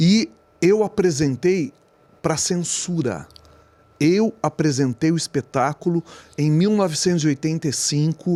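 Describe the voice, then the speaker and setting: This man has an ordinary speaking voice, fairly high in pitch, with ordinary pitch variation and a fairly slow pace. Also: dry, close sound with no echo. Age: 60s. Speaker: podcast host. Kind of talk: interview.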